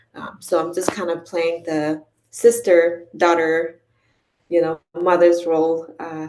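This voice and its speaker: A woman speaks at a very slow pace. Her fairly low voice keeps fairly even intonation. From came to the US at age ten from abroad. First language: not English. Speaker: nonprofit director and community advocate. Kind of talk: conference presentation. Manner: frequent fillers (um, uh).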